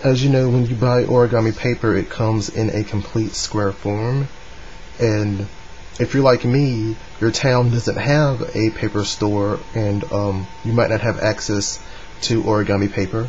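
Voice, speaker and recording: Noticeable background noise surrounds a man speaking at a fairly slow pace. His voice sits at a medium pitch with fairly even intonation. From North Carolina, US. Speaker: origami hobbyist. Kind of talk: tutorial talk to camera. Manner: hesitant, casual.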